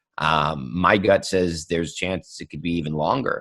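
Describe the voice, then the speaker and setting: A man is speaking. His voice is very deep and low-pitched. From US Midwest, Ohio (Cleveland suburb). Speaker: wine show host and sommelier. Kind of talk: podcast interview.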